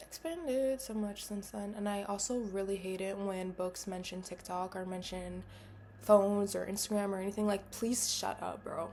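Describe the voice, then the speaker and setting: Here a woman talks in a plain, everyday voice at medium pitch. Her pace is moderate. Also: fairly even intonation. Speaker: vlogger. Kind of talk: casual monologue to camera. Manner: casual, filler-heavy.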